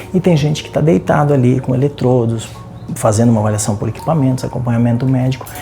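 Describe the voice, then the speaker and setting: A soft-spoken voice talks at a very fast pace. Music plays in the background. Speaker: TV presenter. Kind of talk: TV segment intro. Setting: sleep clinic. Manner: speaking softly.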